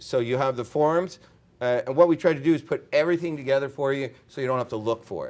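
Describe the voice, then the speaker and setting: Speaking fairly quickly, this man keeps his pitch variation ordinary. His is an ordinary speaking voice. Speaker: consultant on international development lending. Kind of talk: conference presentation.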